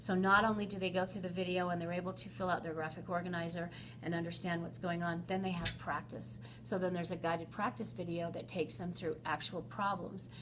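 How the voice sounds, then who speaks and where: Delivered at a very fast pace with ordinary pitch variation, the speech carries audible room echo and noticeable background noise. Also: woman, fairly low pitch for a woman. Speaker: elementary school teacher. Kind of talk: interview. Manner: animated.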